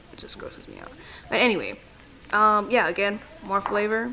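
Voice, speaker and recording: Fairly quick speech from a woman over noticeable background noise. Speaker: home cooking youtuber. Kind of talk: cooking voice-over tutorial. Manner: halting, many fillers; casual, chatty.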